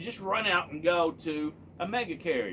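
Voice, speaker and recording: With a Kentucky accent, a man speaks in a high voice. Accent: Kentucky Southern US. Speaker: truck driver and live streamer. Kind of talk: casual live stream chat.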